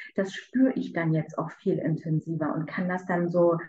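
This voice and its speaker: A woman's ordinary speaking voice, fairly low in pitch, at a moderate pace. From Berlin. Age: 30s. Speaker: coaching client. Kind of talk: interview testimony.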